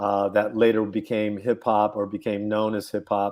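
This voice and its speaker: On a very clean recording with a silent background, a man in an American accent speaks at a fairly low pitch and a fairly slow pace. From San Francisco, US West Coast. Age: 60s. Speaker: hip hop pioneer. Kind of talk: interview. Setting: livestream.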